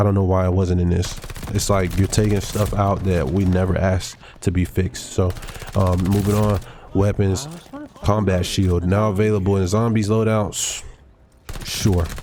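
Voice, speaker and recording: Recorded with noticeable background noise and audible room echo, a man with a fairly low voice speaks at a moderate pace, his loudness very even, his intonation fairly even, and his speech broken by long, frequent pauses. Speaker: gaming youtuber. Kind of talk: casual gameplay commentary.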